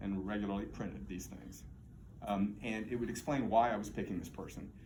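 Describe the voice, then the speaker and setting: Speaking at a fairly quick pace with vocal fry, a man is heard with audible room echo. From Texas, Houston. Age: 60s. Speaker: political candidate, former mayor. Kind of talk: campaign speech. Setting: political forum with audience.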